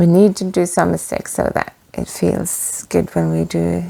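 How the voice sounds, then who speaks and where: This is a woman speaking. She has a non-native accent. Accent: non-native English pronunciation. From Norway, west coast. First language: Norwegian. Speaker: knitting vlogger. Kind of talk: casual chat. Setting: cabin. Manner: halting.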